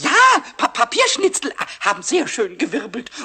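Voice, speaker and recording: Put-on character voice from a man, pitched extremely high, moderately paced. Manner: excited, stammering.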